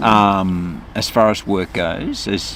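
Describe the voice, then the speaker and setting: A man speaks with vocal fry at a very deep, low pitch. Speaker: voice artist. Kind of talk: interview answer. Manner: casual, slightly nervous.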